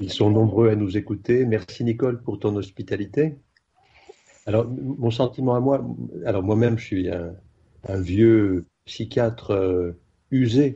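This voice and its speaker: At a fairly slow pace, a man with a fairly low, somewhat breathy voice speaks with ordinary pitch variation. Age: 60s. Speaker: psychiatrist. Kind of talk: remote radio discussion. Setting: remote call. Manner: hesitant.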